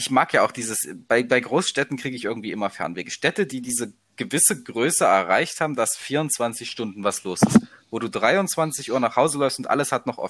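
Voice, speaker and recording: A man speaks in an ordinary speaking voice. His intonation is lively. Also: medium pitch for a man. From eastern Germany, Leipzig area. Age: 20s. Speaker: university student. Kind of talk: casual chat.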